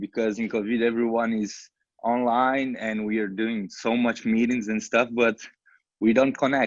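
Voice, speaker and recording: A man with a Portuguese accent, fairly even intonation and a moderate pace. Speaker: social entrepreneur. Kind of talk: panel discussion. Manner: halting.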